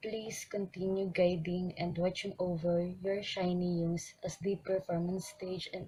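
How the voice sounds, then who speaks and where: Somewhat breathy, dark and mellow in tone, a moderate pace and monotone, flat intonation. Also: woman. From Philippines. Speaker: fan. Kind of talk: recorded video tribute message. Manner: formal, read-like.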